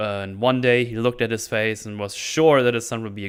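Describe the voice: Reading aloud, plainly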